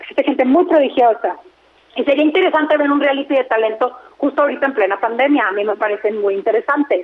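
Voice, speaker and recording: A high-pitched woman's voice with lively intonation and very even loudness, over noticeable background noise. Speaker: entertainment radio host. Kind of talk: casual chat.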